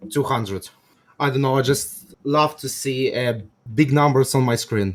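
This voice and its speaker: A man in a Russian accent talks at a moderate pace and a medium pitch, with fairly even intonation. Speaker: game player debating on stream. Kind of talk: debate. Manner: halting.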